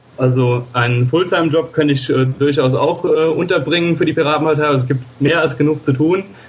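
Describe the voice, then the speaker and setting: A fairly high-pitched man at a fairly quick pace amid noticeable background noise. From Germany, Koblenz area (Rhineland-Palatinate). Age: 20s. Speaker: politician, party candidate. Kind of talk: interview.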